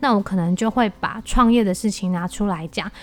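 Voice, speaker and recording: A woman with an ordinary speaking voice talks at a moderate pace in a medium pitch with ordinary pitch variation. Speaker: podcast host and entrepreneur. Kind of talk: solo podcast monologue.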